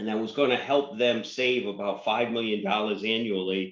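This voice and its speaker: A man speaks in a normal speaking voice at a medium pitch, his intonation fairly even. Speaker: networking vendor representative. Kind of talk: webinar presentation.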